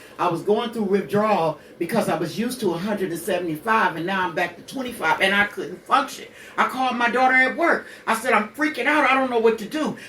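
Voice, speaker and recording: A woman with a fairly high voice talks very fast in an animated tone with lively intonation, over noticeable background noise. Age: 60s. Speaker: radio show co-host, mother of the main host. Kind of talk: personal testimony on a talk radio show.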